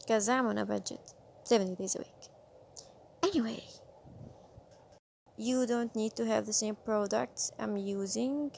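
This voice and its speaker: A woman with a non-native accent speaks at a fairly slow pace. She leaves long, frequent pauses. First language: not English. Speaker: beauty vlogger. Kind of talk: makeup tutorial. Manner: casual.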